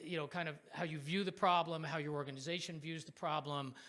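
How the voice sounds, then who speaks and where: Loud and fairly high-pitched, a man's voice has a bright, sharp tone. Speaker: professor of political science, panel moderator. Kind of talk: panel moderation. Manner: animated.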